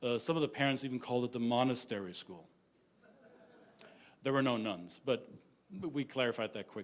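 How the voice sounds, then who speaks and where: Delivered at a fairly quick pace with a German accent, the speech still has long, frequent pauses. Pitch variation is ordinary. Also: man, medium pitch for a man. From Germany. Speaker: intercultural business consultant. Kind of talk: conference talk. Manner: direct, some stammering.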